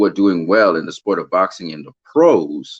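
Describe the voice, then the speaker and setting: This man has an unremarkable speaking voice, with lively intonation and a moderate pace. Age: 40s. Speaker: boxing channel host. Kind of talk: live stream commentary and chat. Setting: live stream. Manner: casual, conversational with filler words.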